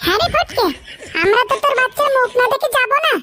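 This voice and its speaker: In a cartoonish character voice, a woman squeaks at an extremely high pitch with ordinary pitch variation and very even loudness over loud background noise. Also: fairly quick pace. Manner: cheerful, chummy.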